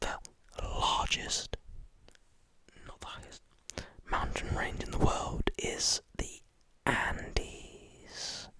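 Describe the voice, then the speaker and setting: The voice is a whisper, moving very slowly. Noticeable background noise is heard too. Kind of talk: ASMR whispered fact reading. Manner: close whisper.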